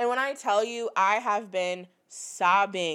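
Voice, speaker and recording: The recording is very clean, with a silent background. A woman with an American accent uses a normal speaking voice, fairly high in pitch, with ordinary pitch variation. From Michigan, US Midwest. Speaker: podcast co-host, small business owner. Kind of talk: casual chat.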